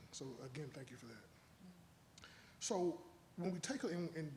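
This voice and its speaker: Here a man speaks with a high pitch. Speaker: panel moderator. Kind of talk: panel discussion. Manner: halting, repeats words.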